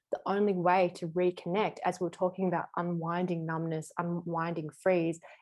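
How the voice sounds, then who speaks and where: Against music in the background, a woman with a fairly low pitch speaks at a moderate pace. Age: 30s. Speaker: somatic body work and tantra teacher. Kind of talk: casual interview chat.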